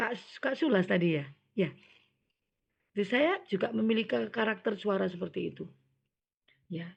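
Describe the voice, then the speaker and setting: Vocal fry marks a woman's medium-pitched voice as she talks at a moderate pace with lively intonation and long, frequent pauses. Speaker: scout leader trainer. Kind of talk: training lecture.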